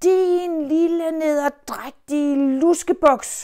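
A growling, high-pitched, put-on character voice in a very clean recording with a silent background. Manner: growling, menacing.

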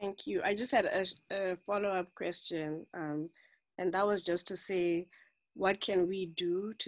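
A woman talks at a moderate pace with fairly even intonation against a quiet background. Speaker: club member. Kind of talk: online club meeting. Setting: video call. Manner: faint. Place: home room. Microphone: video call.

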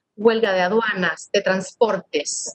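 A woman talks at a moderate pace. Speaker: audiobook reader. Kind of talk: literary audiobook reading, narrated prose with quoted dialogue. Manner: measured, expressive narration, shifting tone for the father's lines. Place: home room. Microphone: webcam.

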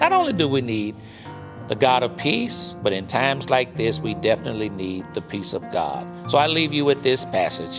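Clear background music accompanies the recording. Over it, a man talks at a moderate pace. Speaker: pastor. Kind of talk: eulogy with scripture reading. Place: studio.

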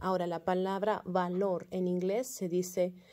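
Against a quiet background, a woman with a medium pitch and a dark, mellow tone speaks at a very slow pace. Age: 30s. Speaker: kindergarten teacher. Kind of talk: class update for parents. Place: classroom. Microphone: phone near.

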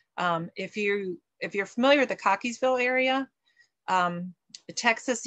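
The background is quiet as a woman speaks. Her pace is moderate, with ordinary pitch variation. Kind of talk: online meeting announcements. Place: home room. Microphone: webcam.

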